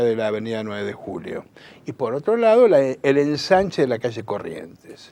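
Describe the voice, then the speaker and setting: The pitch of this man's speech swings very widely up and down. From Buenos Aires, Argentina. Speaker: political activist and communicator. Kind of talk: interview. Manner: halting, many fillers.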